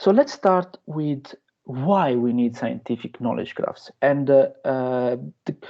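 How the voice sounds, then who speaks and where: Very slow delivery with ordinary pitch variation. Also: man, medium pitch for a man. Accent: strong Italian. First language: Italian. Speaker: researcher and lecturer. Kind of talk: lecture. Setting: guest lecture to university class. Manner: hesitant, many fillers.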